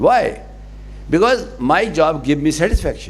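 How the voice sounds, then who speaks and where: A man keeps a moderate pace while audible room echo fills the space. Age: 70s. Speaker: conference speaker. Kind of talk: conference speech. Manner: emphatic, repetitive.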